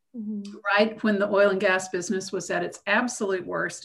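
This woman speaks with an American accent at a medium pitch. Audible room echo surrounds her voice. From US South, Macon, Georgia. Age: 60s. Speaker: geologist. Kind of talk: interview.

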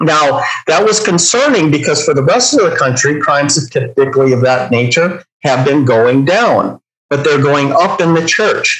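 In an ordinary speaking voice, a man talks at a moderate pace with fairly high pitch and very even loudness. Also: lively intonation. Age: 50s. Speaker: church security trainer and police officer. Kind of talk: online training presentation.

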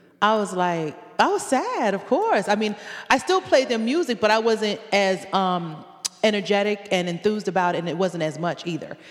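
A woman at a medium pitch with an American accent, a moderate pace and ordinary pitch variation, over noticeable background noise. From Connecticut, US; Jamaican family. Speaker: reggae artist and educator. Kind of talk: casual interview chat.

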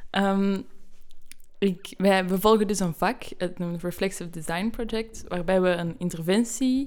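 At a fairly slow pace, a woman talks in a normal speaking voice with ordinary pitch variation. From Belgium. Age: 20s. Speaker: student. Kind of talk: podcast interview.

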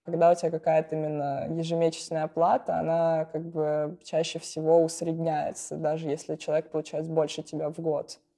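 A woman speaks with fairly low pitch. Her tone is dark and mellow. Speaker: CG artist and art director. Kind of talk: casual interview.

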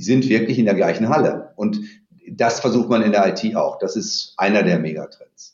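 This man has a plain, everyday voice, speaking at a moderate pace and medium pitch with ordinary pitch variation. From Dortmund, Germany. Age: 50s. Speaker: company CEO. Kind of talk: interview.

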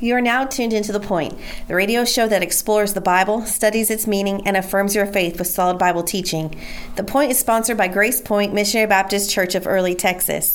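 With noticeable background noise behind her, a woman speaks very fast at a medium pitch, her loudness very even and her intonation fairly even. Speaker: radio announcer. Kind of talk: scripted announcement. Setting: radio broadcast.

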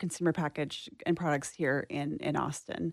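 A woman speaks at a fairly quick pace with a slight Texan accent. The background is quiet. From East Texas. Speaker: nonprofit interim director. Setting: studio.

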